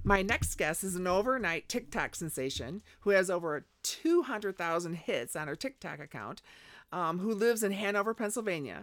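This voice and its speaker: Here a woman has an ordinary speaking voice, lively intonation and a moderate pace, on a very clean recording with a silent background. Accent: American. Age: 60s. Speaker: paranormal podcast host. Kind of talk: casual interview chat.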